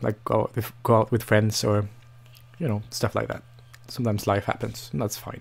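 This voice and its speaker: A man with a non-native accent speaks in a fairly low voice, his intonation fairly even. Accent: non-native English, noticeable. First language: Norwegian. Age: 20s. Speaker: language learning vlogger. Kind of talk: casual vlog monologue. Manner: hesitant, many fillers and restarts.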